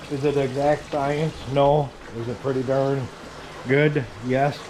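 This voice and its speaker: A fairly high-pitched man speaks in a monotone, flat intonation, with audible room echo and noticeable background noise. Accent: American. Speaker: leech trapper and bait shop owner. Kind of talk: casual outdoor how-to vlog. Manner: mumbling, many filler ums.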